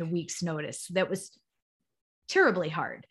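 Against a quiet background, a woman speaks at a moderate pace in a somewhat breathy voice. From Chicago area. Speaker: nonprofit executive director. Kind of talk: podcast interview.

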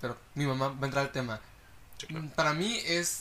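Speaking with a Mexican accent, a man keeps a moderate pace and ordinary pitch variation. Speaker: friend of the host. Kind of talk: casual chat.

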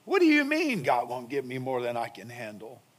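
The pitch swings very widely in a bright, sharp tone at a moderate pace. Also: man. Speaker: pastor. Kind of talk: sermon. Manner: conversational, rhetorical questions.

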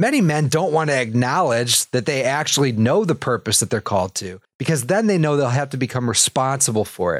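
A man's medium-pitched, normal speaking voice, fairly quick with hardly any pauses and lively intonation, on a very clean recording with a silent background. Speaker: podcast host. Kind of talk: motivational pep talk. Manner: earnest, direct, urging listeners to act.

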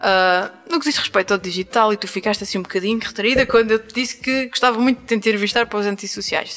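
Very fast delivery with hardly any pauses and ordinary pitch variation. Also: woman. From Azores. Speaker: podcast host. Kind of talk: casual interview. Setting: shop in Angra do Heroísmo, Azores.

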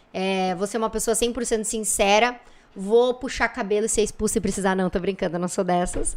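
Fairly even intonation at a moderate pace, in a very clean recording with a silent background. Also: woman, medium pitch for a woman. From Santa Rosa, Rio Grande do Sul, Brazil. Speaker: businesswoman and influencer. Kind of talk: casual chat.

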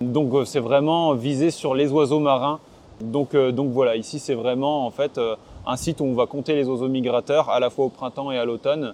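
With fairly even intonation, a man speaks at medium pitch. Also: moderate pace. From northern France, Côte d'Opale. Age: 20s. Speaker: ornithologist. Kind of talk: interview. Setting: outdoors on coastal cliffs. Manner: halting, many fillers and repetitions.

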